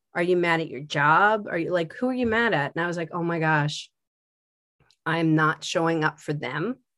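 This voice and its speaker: A woman with an American accent speaks at a moderate pace in a fairly low pitch, a plain, everyday voice. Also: ordinary pitch variation. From Philadelphia. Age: 50s. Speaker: art teacher. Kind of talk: casual chat.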